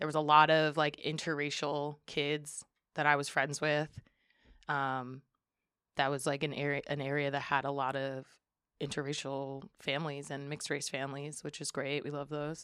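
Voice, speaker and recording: Speaking at a moderate pace with flat, monotone intonation, this voice has an American accent on a very clean recording with a silent background. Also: woman, very deep, low pitch for a woman. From Western Massachusetts (Springfield). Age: 30s. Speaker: community organization co-founder. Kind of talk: casual chat.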